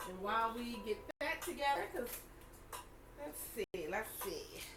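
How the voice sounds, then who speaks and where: Over noticeable background noise, a woman with a Baltimore accent speaks fairly slowly in a high pitch with very wide pitch swings. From Baltimore, US. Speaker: online reseller. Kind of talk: live selling stream. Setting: livestream. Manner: casual, chatty.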